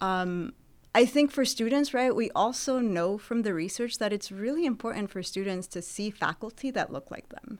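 With an American accent, a woman speaks at a moderate pace in a fairly high pitch, her intonation lively and her loudness swinging widely. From Southern California (Santa Barbara). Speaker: professor. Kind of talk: interview.

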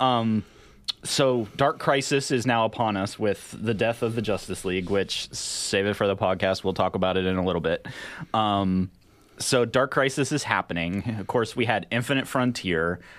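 A man with a fairly low voice and ordinary pitch variation is heard in a very clean recording against a silent background. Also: moderate pace. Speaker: podcast co-host discussing comics. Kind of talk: casual chat. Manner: sarcastic tone.

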